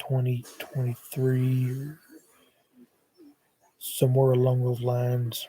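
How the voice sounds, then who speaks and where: Speaking very slowly with long, frequent pauses, a man with an American accent keeps a medium pitch and a monotone, flat intonation. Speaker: paranormal YouTuber. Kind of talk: livestream monologue. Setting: live stream on laptop. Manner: hesitant with many fillers. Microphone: laptop mic, sound changed when moved closer.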